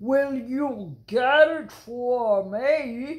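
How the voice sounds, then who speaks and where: A woman puts on a character voice pitched high. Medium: read story. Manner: calm, measured, reassuring.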